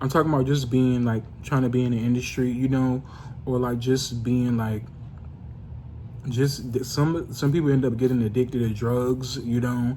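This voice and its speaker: Quiet and somewhat breathy, a man speaks at medium pitch and a moderate pace with a dark, mellow tone, monotone, flat intonation and audible room echo. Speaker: vlogger. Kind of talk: casual monologue vlog. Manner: quiet, low-volume; halting, many fillers.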